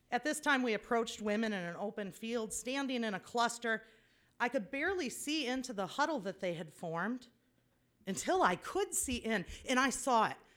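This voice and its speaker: On a very clean recording with a silent background, an unremarkable speaking voice moves at a moderate pace with lively intonation. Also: woman, fairly high pitch for a woman. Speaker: storyteller. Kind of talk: live personal storytelling. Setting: stage with audience.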